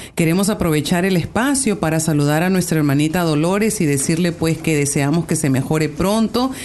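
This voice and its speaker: A woman with a plain, everyday voice speaks at a fairly low pitch and a fairly quick pace, with ordinary pitch variation, very even loudness and hardly any pauses. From Peru. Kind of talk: religious radio talk show. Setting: radio studio.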